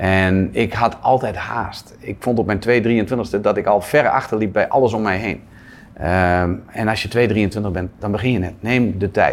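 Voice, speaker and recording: At a fairly slow pace, a man talks with a fairly low pitch and fairly even intonation in a plain, everyday voice. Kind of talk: interview. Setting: at a table with interviewer.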